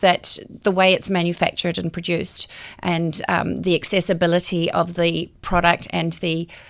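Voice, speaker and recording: A woman with a New Zealand accent and a fairly low pitch. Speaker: cosmetic physician. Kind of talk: interview.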